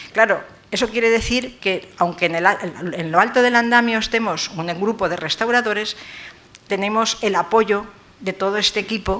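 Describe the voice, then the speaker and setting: Ordinary pitch variation at a moderate pace, over noticeable background noise. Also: woman. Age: 70s. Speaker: professor emerita of art restoration. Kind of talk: lecture. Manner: halting, with fillers.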